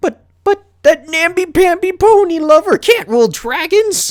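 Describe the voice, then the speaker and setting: A man puts on a character voice at an extremely high pitch, talking at a moderate pace. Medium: game stream.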